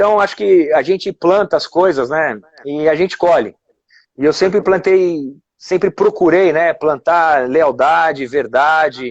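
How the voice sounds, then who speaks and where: Here a man has a normal speaking voice with a fairly high pitch. He speaks at a fairly slow pace with ordinary pitch variation. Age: 40s. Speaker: former footballer. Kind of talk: casual chat.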